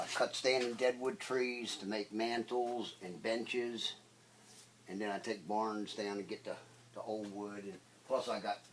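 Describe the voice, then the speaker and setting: A man has an unremarkable speaking voice at medium pitch. He keeps a moderate pace with ordinary pitch variation. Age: 60s. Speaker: woodworker. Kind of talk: casual interview in workshop. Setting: workshop.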